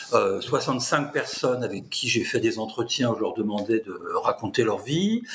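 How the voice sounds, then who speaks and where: A man speaks at a fairly slow pace. Noticeable background noise runs throughout. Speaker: political science professor. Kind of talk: interview. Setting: video call. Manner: talkative.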